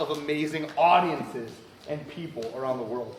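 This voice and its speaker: A loud, animated man with an American accent at a fairly quick pace, amid audible room echo and noticeable background noise. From Ohio, Cleveland. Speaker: magician. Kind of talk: stage performance. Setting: stage with audience. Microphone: no microphone.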